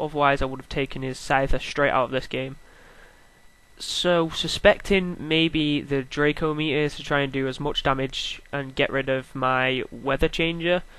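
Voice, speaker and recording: A bright, sharp tone at a moderate pace, with fairly even intonation. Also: man. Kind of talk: live gameplay commentary.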